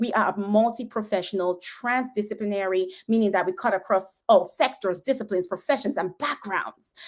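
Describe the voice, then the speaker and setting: An animated voice with a Nigerian accent, ordinary pitch variation and a fairly quick pace. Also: woman, medium pitch for a woman. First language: Igbo. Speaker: physician and roundtable host. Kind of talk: livestream host introduction. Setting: online livestream and Twitter Space.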